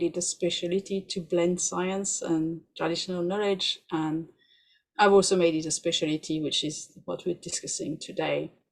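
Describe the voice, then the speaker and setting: Heard on a very clean recording with a silent background, a woman with a French accent speaks at a moderate pace in a fairly low pitch and fairly even intonation. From France. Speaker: doula and researcher. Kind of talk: podcast interview.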